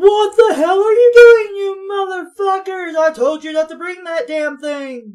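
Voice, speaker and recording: In a put-on character voice, a woman shouts at an extremely high pitch. Her loudness swings widely. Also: moderate pace, lively intonation, hardly any pauses. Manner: angry, shouting.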